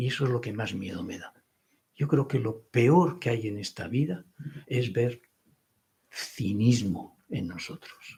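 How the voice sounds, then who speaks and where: At a very slow pace with long, frequent pauses, a man talks with lively intonation at a medium pitch, somewhat breathy, in a dark, mellow tone, with big swings in loudness. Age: 70s. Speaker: writer and speaker. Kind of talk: panel discussion.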